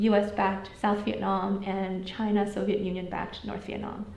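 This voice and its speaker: Audible room echo together with noticeable background noise. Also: woman. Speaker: history lecturer. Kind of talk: lecture with Q&A. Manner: fast.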